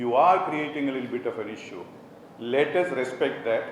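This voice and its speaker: With audible room echo and noticeable background noise around him, a man talks at a moderate pace, his pitch varying in an ordinary way. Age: 60s. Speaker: college administrator. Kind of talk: motivational speech.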